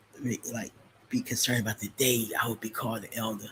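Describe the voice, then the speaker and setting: A man with a medium-pitched, somewhat breathy voice speaks at a moderate pace with fairly even intonation. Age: 50s. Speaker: trading educator. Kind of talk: live stream chat. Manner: casual, halting with many fillers.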